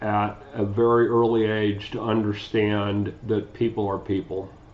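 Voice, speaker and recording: A man with a Midwestern US accent, fairly low pitch, a fairly slow pace and monotone, flat intonation. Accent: US Midwest. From Ohio, Cleveland. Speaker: community advocate. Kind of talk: scripted testimony.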